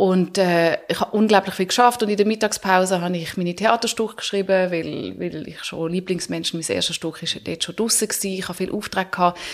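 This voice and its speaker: Against noticeable background noise, a woman talks at a fairly quick pace with hardly any pauses and fairly even intonation. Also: medium pitch for a woman. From Switzerland, Zurich (also Paris, Hamburg). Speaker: author and actress. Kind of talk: interview. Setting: studio.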